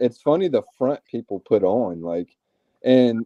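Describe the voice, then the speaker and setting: A man with a Southern US accent, very wide pitch swings, and a dry, close sound with no echo. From US South. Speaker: reality TV contestant. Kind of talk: casual chat.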